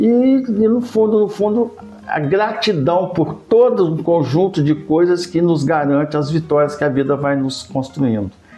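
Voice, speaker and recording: Over music in the background, a man speaks fairly slowly at a high pitch with very wide pitch swings. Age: 70s. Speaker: cultural heritage advocate. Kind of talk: interview.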